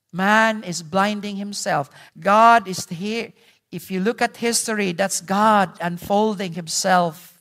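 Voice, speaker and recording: On a very clean recording with a silent background, someone speaks at a very slow pace with a Visayan Filipino accent. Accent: Filipino (Cebuano) English. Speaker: pastor. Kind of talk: sermon. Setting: church.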